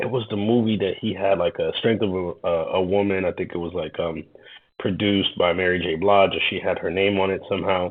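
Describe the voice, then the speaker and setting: Here a man speaks at a fairly quick pace. His pitch is fairly low and his intonation fairly even. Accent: New York. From Queens, New York, Haitian-American. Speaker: YouTuber reacting to videos, tech worker. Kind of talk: reaction commentary. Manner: hesitant, many fillers and repetitions.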